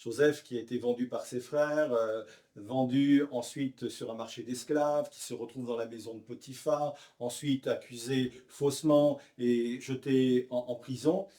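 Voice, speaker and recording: A man's medium-pitched voice in a dark, mellow tone. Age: 60s. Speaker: pastor. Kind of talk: interview.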